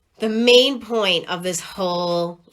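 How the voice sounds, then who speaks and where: A woman speaks at a fairly low pitch with an animated tone and ordinary pitch variation. Noticeable background noise runs underneath. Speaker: spiritual content creator. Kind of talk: casual livestream monologue. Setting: Facebook live video.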